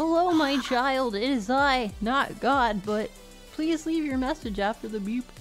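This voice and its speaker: A woman's high-pitched, put-on character voice at a moderate pace over clear music in the background. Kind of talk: archaic, formal. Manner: solemn, mock-majestic.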